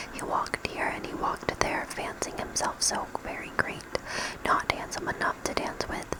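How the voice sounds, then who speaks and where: Someone whispers over noticeable background noise. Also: moderate pace. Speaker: ASMR creator. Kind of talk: novel reading. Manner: whispered.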